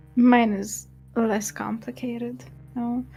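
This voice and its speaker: A woman speaks in a Romanian accent with ordinary pitch variation. Music plays in the background. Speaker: streamer. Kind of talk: casual chat. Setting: livestream.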